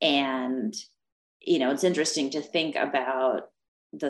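A woman speaks with a Russian accent in a very deep, low voice with ordinary pitch variation. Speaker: professor. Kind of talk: discussion on a video call. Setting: video call.

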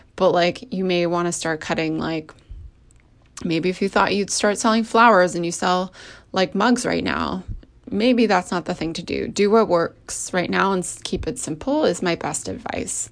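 Against a quiet background, a woman speaks at a fairly low pitch with vocal fry. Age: 30s. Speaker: podcast host and business coach. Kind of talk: solo podcast talk. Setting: recording at home.

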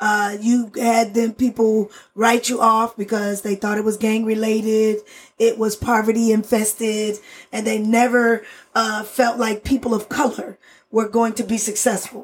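At a fairly slow pace, a woman speaks in a somewhat breathy, fairly high voice with monotone, flat intonation. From Oklahoma. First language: Spanish. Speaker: retired state senator. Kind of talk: interview.

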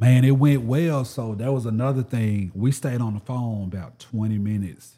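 In a Southern US accent, a man talks at a moderate pace with a medium pitch. His tone is dark and mellow, with ordinary pitch variation. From US South. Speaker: YouTuber sneaker reviewer. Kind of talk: casual interview chat. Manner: animated, funny, conversational.

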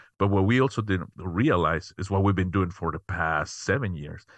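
A man with a Spanish accent and a very deep, low pitch speaks at a moderate pace with ordinary pitch variation, the sound dry and close with no echo over a quiet background. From Mexico City, Mexico. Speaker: tech company founder and CEO. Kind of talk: interview. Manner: halting, many fillers.

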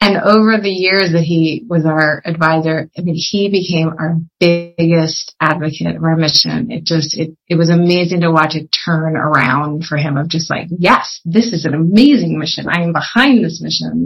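An American accent at a moderate pace, with hardly any pauses and ordinary pitch variation. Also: woman, fairly low pitch for a woman. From Pennsylvania, US (Philadelphia area). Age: 40s. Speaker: social entrepreneur. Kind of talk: interview. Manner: halting.

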